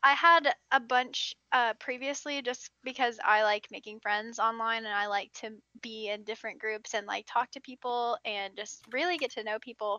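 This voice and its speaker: The speech moves at a moderate pace with hardly any pauses. Pitch variation is ordinary. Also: woman, fairly high pitch for a woman, big swings in loudness. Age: 20s. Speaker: new streamer. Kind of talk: casual chat.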